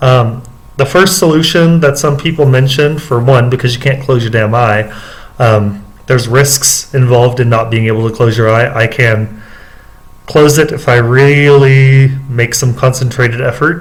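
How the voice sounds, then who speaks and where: Loudness stays very even while noticeable background noise is heard. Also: man, medium pitch for a man, ordinary pitch variation, moderate pace. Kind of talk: casual vlog monologue. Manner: hesitant, many fillers.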